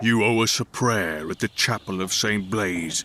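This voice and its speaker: A man's put-on character voice, fairly low in pitch at a moderate pace, with ordinary pitch variation and a dry, close sound with no echo. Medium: read story. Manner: blunt, plain-spoken.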